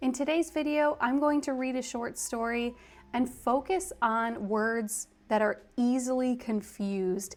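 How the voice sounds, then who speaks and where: In a plain, everyday voice, a woman with an American accent speaks at a fairly slow pace, fairly high in pitch and with lively intonation, on a very clean recording with a silent background. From US. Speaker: English teacher. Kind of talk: tutorial.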